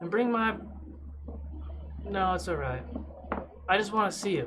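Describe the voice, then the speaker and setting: Doing a put-on character voice, a man drawls at a moderate pace in a relaxed tone and high pitch, with clear background noise. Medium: actual play. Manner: drawling, relaxed, says "man" constantly.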